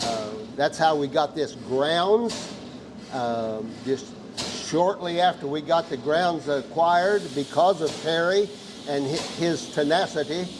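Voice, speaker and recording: Speaking at a very slow pace with a Missouri accent, a man uses a fairly high pitch over noticeable background noise. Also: ordinary pitch variation. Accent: rural Midwestern US (Missouri). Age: 80s+. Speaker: tractor club founder. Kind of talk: casual interview. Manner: hesitant, many fillers.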